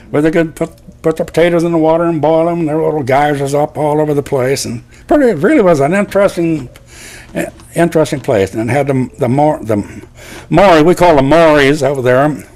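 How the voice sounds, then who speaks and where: A man talks at a very fast pace with fairly high pitch and ordinary pitch variation. Noticeable background noise runs under the recording. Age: 80s+. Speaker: war veteran. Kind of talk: testimony. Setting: school. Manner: halting.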